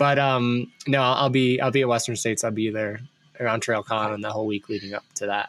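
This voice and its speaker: This man talks at a fairly quick pace with an Ohio accent and medium pitch. His intonation stays fairly even. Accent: Midwest Ohio. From US Midwest, Ohio. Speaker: podcast host, brand consultant. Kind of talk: casual interview chat.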